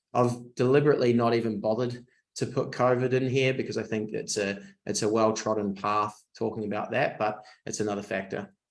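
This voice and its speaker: A man with a New Zealand accent talks at a fairly quick pace. His intonation is monotone and flat. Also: medium pitch for a man. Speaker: design agency managing director. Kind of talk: webinar presentation. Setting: online webinar. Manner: hesitant, many fillers and repeats.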